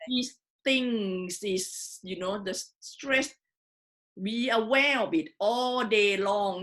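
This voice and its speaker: The speaker has a strong non-native accent and a very slow pace. The background is quiet. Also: woman. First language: not English. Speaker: online community founder and host. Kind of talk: interview. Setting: Facebook live stream. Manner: cautious.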